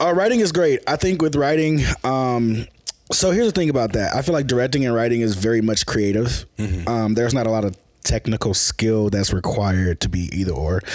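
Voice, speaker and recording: An unremarkable speaking voice with an American accent moves at a fairly quick pace with lively intonation and very even loudness. The recording is very clean, with a silent background. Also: man, medium pitch for a man. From US South, Memphis, Tennessee. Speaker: filmmaker. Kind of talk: casual chat.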